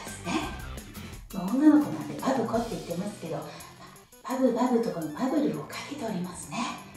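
A woman at a moderate pace, strong room echo around her voice, clear music in the background. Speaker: pregnancy vlogger. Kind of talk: casual vlog chat. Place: home room.

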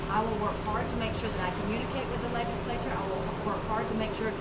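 A woman talks at a very fast pace. Loud noise fills the background. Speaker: candidate. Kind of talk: press conference answer.

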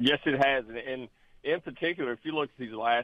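This man speaks at a moderate pace. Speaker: financial advisor. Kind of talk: casual chat. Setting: phone call. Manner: animated.

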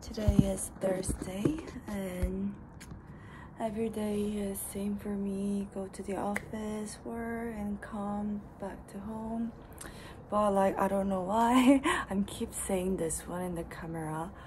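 Over noticeable background noise, a woman speaks at a very slow pace with fairly even intonation. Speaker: vlogger. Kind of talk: casual vlog chat. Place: home room. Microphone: phone near.

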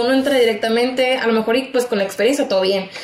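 A woman speaks with fairly even intonation amid audible room echo. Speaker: radio broadcaster, communications graduate. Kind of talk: casual podcast interview answer. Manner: expressive, talkative, informal. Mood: lively, amused storytelling. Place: studio.

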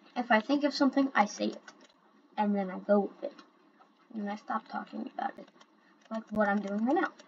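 A woman at a fairly high pitch and fairly quick pace, with long, frequent pauses, ordinary pitch variation, big swings in loudness and noticeable background noise. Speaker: gaming YouTuber. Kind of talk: gameplay commentary. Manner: rambling.

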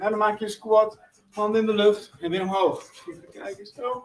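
A high-pitched male voice in audible room echo, with faint music in the background. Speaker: fitness instructor. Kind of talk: workout tutorial instructions. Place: gym. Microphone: camera far.

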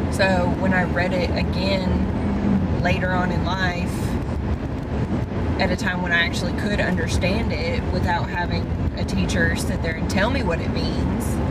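The speech comes at a fairly slow pace over loud background noise. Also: woman. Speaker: vlogger's partner. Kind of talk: casual vlog chat. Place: car. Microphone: camera far.

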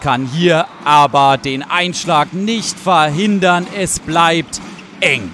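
Noticeable background noise sits under this recording. A man speaks with lively intonation at a fairly high pitch. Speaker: handball commentator. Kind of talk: live sports commentary over match highlights, voiceover style.

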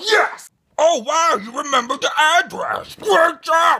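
A high, cartoonish character voice at a fairly slow pace. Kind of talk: puppet comic voice. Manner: whiny, excitable.

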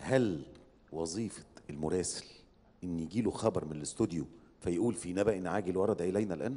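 Speaking at a moderate pace, a man uses a very deep, low pitch and a dark, mellow tone, his pitch varying in an ordinary way. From Egypt. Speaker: competition judge, media professional; competition judge. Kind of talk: feedback to contestants; judge's critique. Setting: stage with audience. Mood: questioning, slightly ironic. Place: stage. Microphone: handheld.

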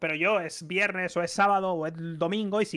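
Over a quiet background, a man speaks at a high pitch with a bright, sharp tone and fairly even intonation. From Spain. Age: 30s. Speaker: streamer. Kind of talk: casual chat. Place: home room. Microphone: studio mic.

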